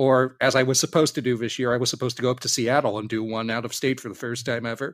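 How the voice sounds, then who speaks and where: On a very clean recording with a silent background, a man with a Californian accent talks at a very fast pace, his medium-pitched voice monotone and flat. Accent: General American (Californian). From San Diego, California. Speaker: voice actor and convention panel organizer. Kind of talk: casual interview.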